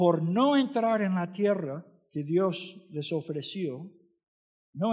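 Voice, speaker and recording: Lively intonation runs through speech delivered very slowly. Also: man. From US, Florida. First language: English (speaking Spanish). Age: 60s. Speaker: missionary preacher. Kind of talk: sermon.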